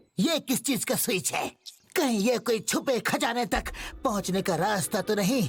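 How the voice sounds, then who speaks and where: Someone puts on a character voice with a fairly high pitch, talking at a moderate pace. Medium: fan dub. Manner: boastful, scheming.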